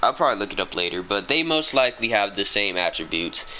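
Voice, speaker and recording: With lively intonation, a man speaks at a moderate speed as noticeable background noise carries on. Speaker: gaming youtuber. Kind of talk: rant. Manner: stuttering; animated.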